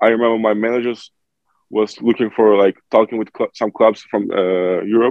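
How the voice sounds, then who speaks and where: With a Turkish accent, a man speaks in a monotone, flat tone and leaves long, frequent pauses. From Turkey. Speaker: professional basketball player. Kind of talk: interview.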